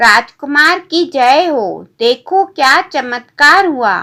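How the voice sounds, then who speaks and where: A woman's put-on character voice, high-pitched and very slow. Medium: read story.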